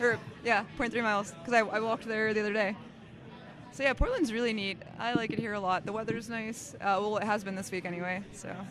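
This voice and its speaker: A woman with a fairly high pitch talks at a very fast pace with fairly even intonation. Audible room echo and noticeable background noise surround her. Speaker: tournament commentator. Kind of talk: casual chat.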